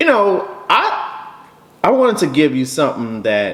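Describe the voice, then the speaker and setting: A man talks over noticeable background noise. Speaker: bourbon reviewer. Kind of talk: casual chat. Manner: halting.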